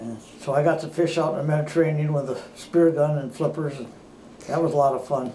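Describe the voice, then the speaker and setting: Over noticeable background noise, a man talks very fast. His pitch is fairly high and his intonation fairly even. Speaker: war veteran. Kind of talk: interview answer. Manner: relaxed, conversational.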